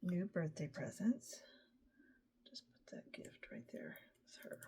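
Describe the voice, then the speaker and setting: Mumbling very slowly with vocal fry, a woman speaks with an American accent. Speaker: scrapbooking product advisor. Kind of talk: craft tutorial. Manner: casual, thinking aloud.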